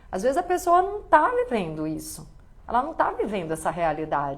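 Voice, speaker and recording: A woman talks at a moderate pace, her pitch making very wide swings. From Bahia, Brazil. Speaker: actress and live-stream host. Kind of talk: live stream talk reading viewer comments. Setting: live stream.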